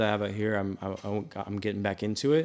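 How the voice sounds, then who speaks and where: In an American accent, the speaker goes at a moderate pace on a very clean recording with a silent background. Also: man. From Kansas City, US Midwest. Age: 20s. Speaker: podcast host. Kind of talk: casual banter. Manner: animated, jokey.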